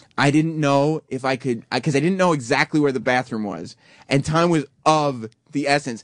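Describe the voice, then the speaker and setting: Against a quiet background, a man with a fairly high pitch talks at a fairly quick pace in an animated tone with ordinary pitch variation, the sound dry with no echo. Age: 20s. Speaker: radio host. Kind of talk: casual chat. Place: studio. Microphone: studio mic.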